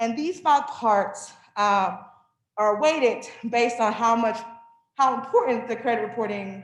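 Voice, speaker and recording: In a room with audible echo, a woman speaks at a fairly slow pace with ordinary pitch variation. She leaves long, frequent pauses. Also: fairly high pitch for a woman. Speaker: financial wellness presenter. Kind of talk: workshop presentation. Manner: loud.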